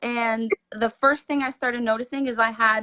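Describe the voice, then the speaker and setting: In a French Canadian accent, a woman with a high-pitched voice speaks at a moderate pace with ordinary pitch variation, the sound dry and close with no echo. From Quebec, French Canada. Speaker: homesteader. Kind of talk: casual interview chat. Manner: halting, many fillers.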